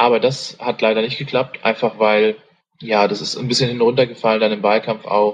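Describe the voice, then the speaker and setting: Moderate pace and monotone, flat intonation in a man's medium-pitched voice. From Saxony, Germany. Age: 20s. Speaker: political party candidate. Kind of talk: interview. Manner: hesitant, many fillers.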